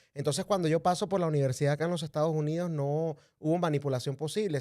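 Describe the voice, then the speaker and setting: Here a man with a Venezuelan accent speaks with fairly even intonation on a very clean recording with a silent background. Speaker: political commentator. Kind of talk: interview.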